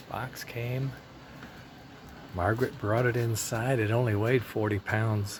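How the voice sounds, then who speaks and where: Over noticeable background noise, a man talks at a medium pitch and a fairly slow pace, in a monotone, flat way, with long, frequent pauses. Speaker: hobbyist model train builder. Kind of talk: casual video log. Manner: halting.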